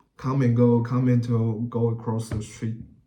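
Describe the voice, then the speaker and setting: A man with a Chinese accent, medium pitch and a dark, mellow tone, at a very slow pace. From Taiwan (Taipei). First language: Mandarin Chinese. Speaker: YouTuber. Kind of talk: casual vlog talk. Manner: halting, many fillers.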